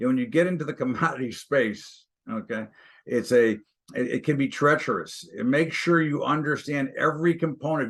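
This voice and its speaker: A man's fairly high, normal speaking voice at a fairly quick pace against a quiet background. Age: 60s. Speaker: stock and commodities trader. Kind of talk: interview.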